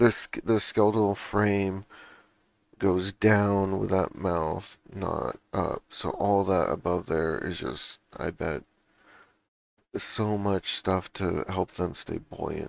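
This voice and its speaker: A man mumbles at a very slow pace, his pitch fairly low. Intonation stays fairly even on a very clean recording with a silent background. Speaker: podcast co-host. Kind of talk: casual chat. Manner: halting, many restarts.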